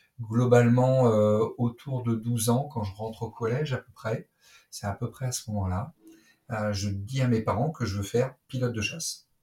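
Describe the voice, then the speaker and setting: A man's medium-pitched voice, dark and mellow and somewhat breathy, with fairly even intonation at a moderate pace. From Brittany, France. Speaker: naval officer and fighter pilot. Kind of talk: interview. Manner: halting.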